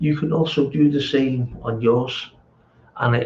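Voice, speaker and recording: This man's intonation stays fairly even at a medium pitch. His voice is somewhat breathy. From England. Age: 60s. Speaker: amateur bodybuilder vlogger. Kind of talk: casual chat. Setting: home gym. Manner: halting.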